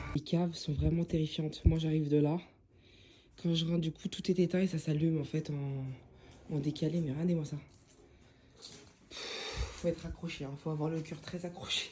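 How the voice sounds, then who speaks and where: Her voice is very deep and low for a woman and somewhat breathy. She keeps a moderate pace, broken by long, frequent pauses. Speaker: vlogger. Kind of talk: casual vlog talk to camera. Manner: animated.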